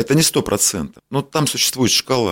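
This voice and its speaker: Over a very clean recording with a silent background, a man talks in a plain, everyday voice at a fairly slow pace with lively intonation. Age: 50s. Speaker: doctor and medical business owner. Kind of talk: interview.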